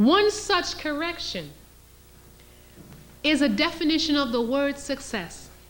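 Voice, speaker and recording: Lively intonation at a fairly slow pace, with long, frequent pauses and audible room echo. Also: woman, high pitch for a woman. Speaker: historian and lecturer. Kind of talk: lecture.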